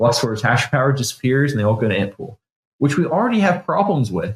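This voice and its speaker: A man with an unremarkable speaking voice talks at a medium pitch, his intonation lively. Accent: Canadian. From Canada. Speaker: bitcoin developer. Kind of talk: technical interview. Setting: studio.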